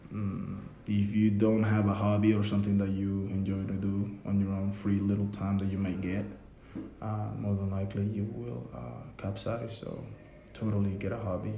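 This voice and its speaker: Over noticeable background noise and audible room echo, a man with a fairly low pitch talks at a moderate pace. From Mexico, Yucatán. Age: 20s. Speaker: student. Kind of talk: interview. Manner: halting.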